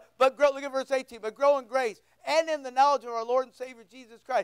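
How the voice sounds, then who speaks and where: With a quiet background behind him, a man speaks at an extremely high pitch. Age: 60s. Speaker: pastor. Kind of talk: sermon. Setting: church. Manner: informal, joking. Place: church.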